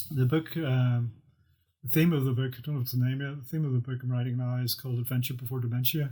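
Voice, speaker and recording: Speaking at a very fast pace in a Northern Irish accent, a man uses a medium pitch and monotone, flat intonation, his tone dark, mellow and somewhat breathy. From Northern Ireland. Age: 60s. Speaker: property developer. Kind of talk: interview answer.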